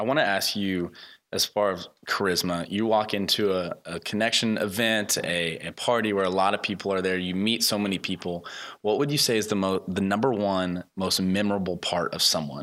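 Recorded very cleanly against a silent background, a man speaks in a plain, everyday voice with a fairly low pitch. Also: moderate pace. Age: 20s. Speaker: podcast host. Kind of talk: interview.

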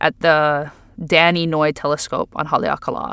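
With a Hawaiian accent and a bright, sharp tone, a woman speaks in a very clean recording with a silent background. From Oahu, Hawaii. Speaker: poet, scholar and activist. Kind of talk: interview.

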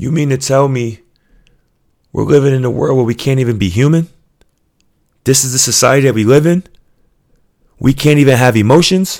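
A man with a New York accent at a fairly quick pace, ordinary pitch variation and long, frequent pauses. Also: medium pitch for a man. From US Northeast (Queens, New York). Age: 30s. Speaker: podcast host. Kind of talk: motivational monologue. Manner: earnest, emphatic.

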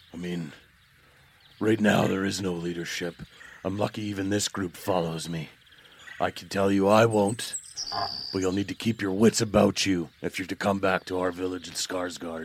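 Using a put-on character voice, a man speaks very deep and low in a monotone, flat line at a moderate pace, with long, frequent pauses. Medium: actual play. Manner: gruff, hostile, suspicious; blunt and commanding.

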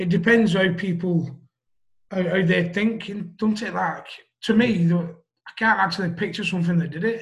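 In a Lancashire accent, a man speaks at a moderate pace with a high pitch and fairly even intonation. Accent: Wigan, northern English. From Wigan, northern England. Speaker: guest, mental health page founder. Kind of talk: casual interview conversation. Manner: halting, hesitant.

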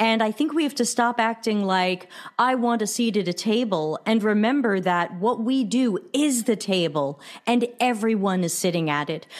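A woman with a US East Coast accent, fairly high-pitched, with lively intonation, very even loudness and a moderate pace. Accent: US East Coast American. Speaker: customer experience consultant. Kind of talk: interview.

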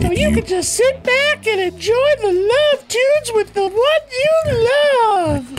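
An extremely high-pitched, put-on character voice speaks at a fairly slow pace. Clear music plays in the background. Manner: eager, oblivious.

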